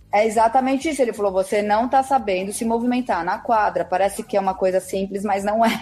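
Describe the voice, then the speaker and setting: A woman with a fairly high pitch and a dark, mellow tone. She moves at a fairly quick pace with hardly any pauses. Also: ordinary pitch variation. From Brazil, São Paulo city. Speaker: personal trainer and tennis blogger. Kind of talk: casual interview.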